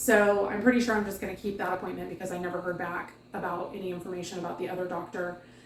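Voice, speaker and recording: A woman talking at a very fast pace with fairly even intonation, amid audible room echo and noticeable background noise. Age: 40s. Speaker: weight loss vlogger. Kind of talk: casual vlog update. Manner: casual with many fillers.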